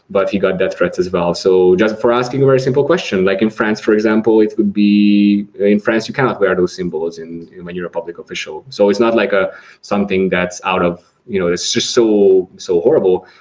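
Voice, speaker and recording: Fairly low male speech with a Hungarian accent, fairly quick with hardly any pauses and ordinary pitch variation. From Hungary. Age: 20s. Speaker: atheist society vice president. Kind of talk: podcast interview. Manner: halting, many repetitions.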